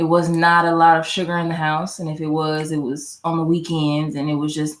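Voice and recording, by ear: Her pitch low and her tone fairly bright, a woman talks at a moderate pace.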